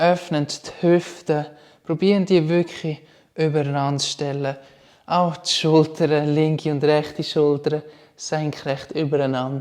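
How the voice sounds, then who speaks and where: With a Swiss accent, a man speaks very slowly at a fairly high pitch with ordinary pitch variation. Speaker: yoga instructor. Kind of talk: guided yoga class instruction.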